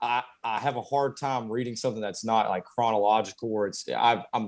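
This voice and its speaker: A man with a Southern US accent speaks at a fairly quick pace and with fairly even intonation. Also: medium pitch for a man. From US South, Conway, South Carolina. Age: 20s. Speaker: carpenter. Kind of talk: interview. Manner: halting, many fillers.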